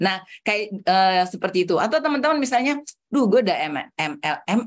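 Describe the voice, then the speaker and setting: An animated woman's voice, fairly high in pitch, with very wide pitch swings and a fairly quick pace. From Jakarta and Bandung, Javanese family from Solo. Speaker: trainer, hypnotherapy and network marketing coach. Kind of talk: online training session.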